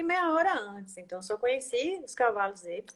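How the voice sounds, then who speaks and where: A woman's voice swings very widely in pitch as she talks at a moderate speed. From Brazil. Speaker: equine-assisted systemic therapist. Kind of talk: casual interview chat. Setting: online live stream.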